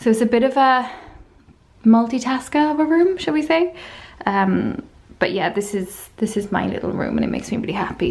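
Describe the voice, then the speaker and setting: This somewhat breathy voice moves at a moderate pace with lively intonation. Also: woman. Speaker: Etsy shop owner. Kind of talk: casual talk to camera.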